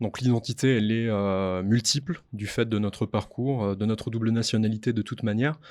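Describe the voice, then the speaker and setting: Against a quiet background, a man at a medium pitch talks at a fairly quick pace with fairly even intonation and hardly any pauses. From France. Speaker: podcast co-host. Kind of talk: conversational podcast discussion. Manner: hesitant, many fillers.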